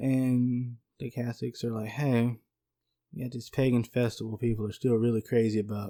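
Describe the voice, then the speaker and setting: In a Southern US accent, a man talks at a moderate pace. His voice has a dark, mellow tone at medium pitch. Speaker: podcast co-host. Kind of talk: casual podcast chat.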